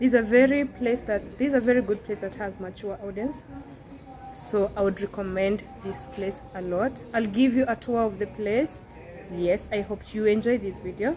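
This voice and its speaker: With faint music in the background, a woman speaks at a moderate pace. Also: ordinary pitch variation. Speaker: vlogger. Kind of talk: casual vlog chat. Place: hall. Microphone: phone near.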